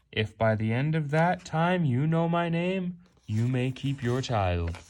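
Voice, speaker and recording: On a very clean recording with a silent background, a man does a put-on character voice at a medium pitch with very wide pitch swings. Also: fairly slow pace. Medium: read story. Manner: sly, bargaining.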